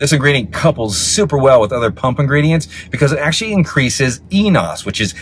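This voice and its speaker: A man speaks at a fairly quick pace in a dry sound with no echo, with light background noise. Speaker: supplement reviewer. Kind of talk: product review explanation. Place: car. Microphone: phone near.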